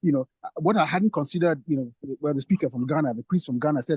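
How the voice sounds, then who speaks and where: A man's somewhat breathy voice, very fast, with lively intonation. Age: 50s. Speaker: priest. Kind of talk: panel discussion contribution. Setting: online forum. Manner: halting, many repetitions.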